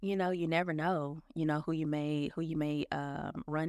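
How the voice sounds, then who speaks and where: In a Memphis accent, a woman talks at a fairly slow pace, recorded dry and close with no echo on a very clean recording with a silent background. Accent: Southern US (Memphis). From Memphis, Tennessee. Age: 30s. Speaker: operations manager. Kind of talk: casual interview.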